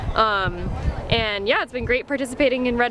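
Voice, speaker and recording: A woman with an American accent speaks with ordinary pitch variation over noticeable background noise. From Northern California. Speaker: big wave surfer. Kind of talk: interview.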